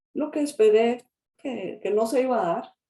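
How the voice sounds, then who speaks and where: A woman with a dark, mellow tone speaks at a fairly slow pace with lively intonation. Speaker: lawyer and notary. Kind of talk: interview. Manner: halting, repeats words.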